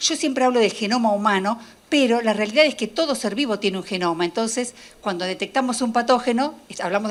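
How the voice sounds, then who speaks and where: Noticeable background noise sits under the recording. A woman speaks fairly quickly with ordinary pitch variation. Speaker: molecular biologist. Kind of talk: lecture. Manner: fast.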